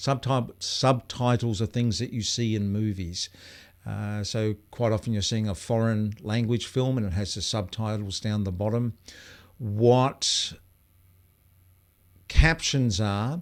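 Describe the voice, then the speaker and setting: In an Australian accent, a man speaks at a fairly slow pace with a fairly low pitch and ordinary pitch variation. He leaves long, frequent pauses. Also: very clean recording, silent background. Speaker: video coach. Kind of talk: live stream Q&A. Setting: live stream. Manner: casual, hesitant with fillers.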